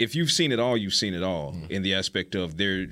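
A man with a Southern US accent speaks at a very deep, low pitch in a bright, sharp tone on a very clean recording with a silent background. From US South, Savannah, Georgia. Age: 40s. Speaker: sports show co-host. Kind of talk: casual sports talk.

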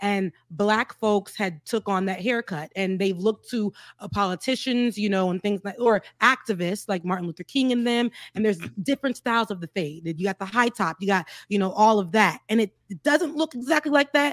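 On a very clean recording with a silent background and a dry, close sound with no echo, a woman with an American accent, an unremarkable speaking voice and medium pitch talks at a fairly quick pace with lively intonation. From US South, South Florida. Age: 30s. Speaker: political commentator. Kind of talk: casual chat.

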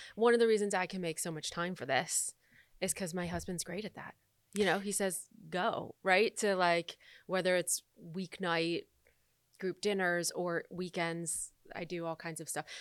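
In an American accent, an unremarkable speaking voice moves at a moderate pace, captured in a very clean recording with a silent background and a dry, close sound with no echo. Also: woman, fairly low pitch for a woman, fairly even intonation. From Michigan, US Midwest. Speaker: entrepreneur and coach. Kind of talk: casual chat.

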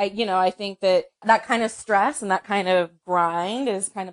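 A woman with an American accent and a normal speaking voice, fairly even in intonation, at a moderate pace, in a dry, close recording with no echo. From North Carolina, US South. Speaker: sports journalist. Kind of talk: interview.

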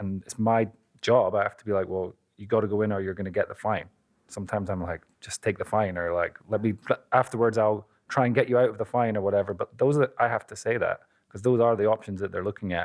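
Talking at a very fast pace, a man with a fairly low pitch keeps fairly even intonation while his loudness swings widely. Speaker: sports agent. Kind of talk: casual chat.

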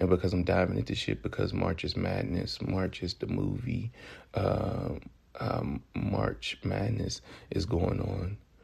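A man's very deep, low voice in an American accent, with vocal fry, very wide pitch swings and a fairly slow pace. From US South, Memphis, Tennessee. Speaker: podcast host. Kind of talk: casual podcast monologue.

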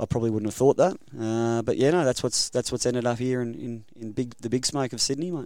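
With an Australian accent, a man talks at a very fast pace in a medium-pitched voice with a dark, mellow tone and ordinary pitch variation. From Queensland, Rockhampton. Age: 30s. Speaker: rugby league coach. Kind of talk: casual interview. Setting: studio.

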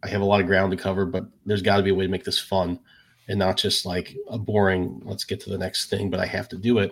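Speaking very fast, a man with a fairly low pitch keeps a monotone, flat intonation marked by vocal fry. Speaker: podcast co-host. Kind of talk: casual interview chat.

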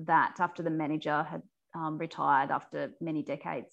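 The background stays quiet. A woman talks in an Australian accent. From New South Wales Central West, Australia. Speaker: journalist and macadamia farmer. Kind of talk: interview.

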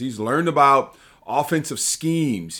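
With an American accent and a plain, everyday voice, a man speaks at a moderate pace with lively intonation and a fairly high pitch, in a very clean recording with a silent background. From Los Angeles, US. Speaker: former football player, podcast co-host. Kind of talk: casual sports podcast chat.

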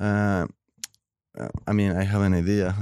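A man speaks at a fairly slow pace with a Spanish accent against a quiet background. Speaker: visual artist. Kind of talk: interview.

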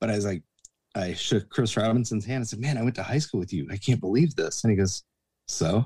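A man talks in a dark, mellow tone that is somewhat breathy. His pitch is medium and moves with ordinary variation. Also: fairly quick pace. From Atlanta, Georgia. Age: 40s. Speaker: former bouncer and bartender. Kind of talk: casual interview chat.

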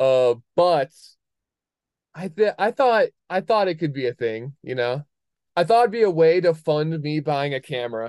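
At a moderate pace and with long, frequent pauses, a man with a fairly high pitch speaks in a dry, close sound with no echo over a quiet background. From moved around, military family (Wisconsin, Alaska, Connecticut). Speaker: skier and clothing brand founder. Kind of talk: casual chat.

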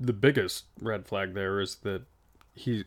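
Recorded very cleanly against a silent background, a man speaks with ordinary pitch variation. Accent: American. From Nevada. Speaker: podcast co-host. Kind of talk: casual chat. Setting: shipping container studio with outdoor noise.

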